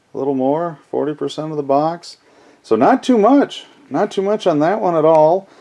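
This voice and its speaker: With lively intonation and a dark, mellow tone, a man speaks at a fairly slow pace in a fairly high pitch. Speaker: collectibles video creator. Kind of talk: casual unboxing commentary. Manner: halting.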